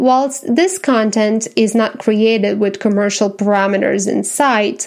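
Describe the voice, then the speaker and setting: A woman's fairly high voice with a Romanian accent and ordinary pitch variation, in a very clean recording with a silent background. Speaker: podcast host, visual artist and writer. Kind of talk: scripted podcast introduction. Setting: home. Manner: formal.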